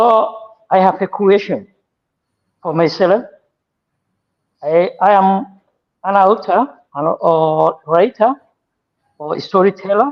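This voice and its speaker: Very slow speech from a man with a Somali accent, high in pitch, with ordinary pitch variation and long, frequent pauses. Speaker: writer and audience questioner. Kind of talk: audience question. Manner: halting.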